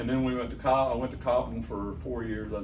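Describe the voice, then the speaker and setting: Music plays in the background as a man talks with an American accent. The room echo is audible. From Southern Illinois. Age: 60s. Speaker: radio host. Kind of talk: interview storytelling.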